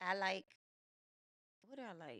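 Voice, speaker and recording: A dry, close sound with no echo marks this woman's speech. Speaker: teacher and podcast co-host with her husband. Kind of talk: casual chat. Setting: at home on the couch. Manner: loud.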